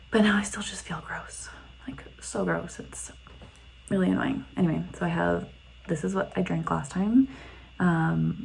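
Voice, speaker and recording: Whispering at a fairly slow pace with long, frequent pauses, the voice swings widely in loudness amid audible room echo. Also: woman. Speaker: vlogger. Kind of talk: video diary. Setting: in a car. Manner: casual, filler-heavy.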